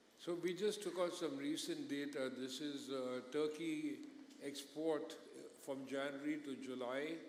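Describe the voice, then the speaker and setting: With audible room echo and noticeable background noise, a man speaks at a fairly slow pace in a fairly high pitch with fairly even intonation. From India. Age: 60s. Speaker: business executive. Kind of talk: conference panel interview.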